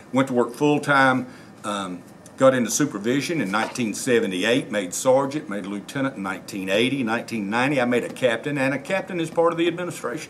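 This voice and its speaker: With an American accent, the speaker rattles along at a very fast pace with lively intonation over noticeable background noise. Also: man, medium pitch for a man. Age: 60s. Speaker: sheriff candidate, retired law enforcement officer. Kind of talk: interview. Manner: halting, many fillers.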